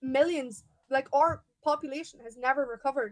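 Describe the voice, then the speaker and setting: With an Irish accent, a woman speaks at a fairly quick pace in a high pitch with ordinary pitch variation. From Ireland. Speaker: pro-Palestine activist. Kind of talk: heated debate.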